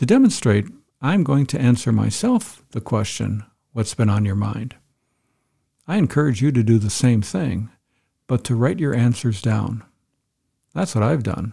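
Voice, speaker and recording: This man has a medium pitch and a dark, mellow, somewhat breathy tone, and he speaks at a fairly slow pace with lively intonation and long, frequent pauses. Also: very clean recording, silent background. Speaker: podcast host. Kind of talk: solo podcast monologue.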